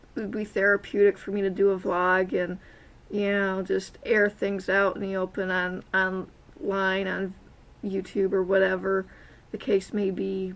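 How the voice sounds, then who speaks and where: A woman at a medium pitch, fairly slow pace and monotone, flat intonation. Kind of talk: casual vlog talk to camera. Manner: hesitant, many filler sounds and stuttering.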